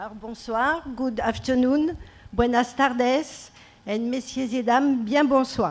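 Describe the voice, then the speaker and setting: A woman with a French accent talks at a fairly slow pace and a high pitch, with ordinary pitch variation and audible room echo. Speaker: national park researcher. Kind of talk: conference presentation. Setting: conference room with audience.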